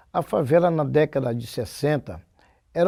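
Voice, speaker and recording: Dark and mellow in tone yet fairly high in pitch, a man speaks with lively intonation on a very clean recording with a silent background. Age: 60s. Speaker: samba school percussionist and composer. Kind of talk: oral history interview.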